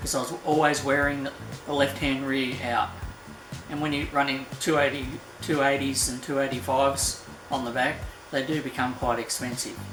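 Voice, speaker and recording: With audible room echo and music in the background, a man with an Australian accent talks at a moderate pace and fairly high pitch in a monotone, flat intonation. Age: 60s. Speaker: car enthusiast vlogger. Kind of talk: casual talk to camera.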